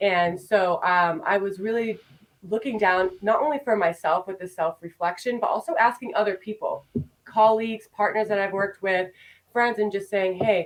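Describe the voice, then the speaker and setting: A woman with a plain, everyday voice speaks at a moderate pace and medium pitch, with ordinary pitch variation. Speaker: marketing consultant. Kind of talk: podcast interview.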